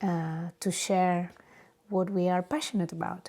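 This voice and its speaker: A woman with a Catalan accent has a dark, mellow tone and fairly even intonation. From Spain, Barcelona area. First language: Spanish. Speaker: podcast host, yoga teacher. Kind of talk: casual monologue. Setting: home studio. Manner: halting, many fillers.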